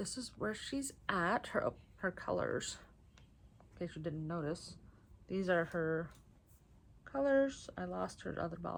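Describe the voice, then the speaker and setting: A woman in an American accent, fairly slow, with long, frequent pauses. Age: 30s. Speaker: knitting vlogger. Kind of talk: casual vlog monologue. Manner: animated.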